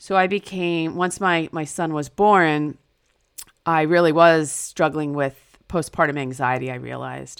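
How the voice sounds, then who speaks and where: This is an ordinary speaking voice with an American accent at a moderate pace. The recording is very clean, with a silent background. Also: woman. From US Northeast, New Jersey. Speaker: author. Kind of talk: interview.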